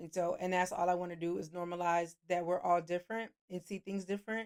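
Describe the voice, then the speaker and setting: A woman talks at a fairly quick pace in a fairly low voice, her intonation monotone and flat. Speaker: therapist. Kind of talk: casual advice monologue. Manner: fast.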